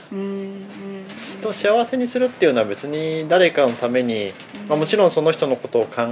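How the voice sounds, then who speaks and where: A man's fairly high voice with very wide pitch swings over noticeable background noise. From Aichi, Japan. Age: 30s. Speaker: cafe owner. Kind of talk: casual interview.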